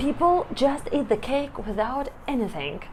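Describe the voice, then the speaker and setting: Lively in intonation but very slow in pace, a woman speaks with a Russian accent over noticeable background noise. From Belarus. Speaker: vlogger. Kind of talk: casual vlog talk to camera. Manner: halting, with hesitations and restarts.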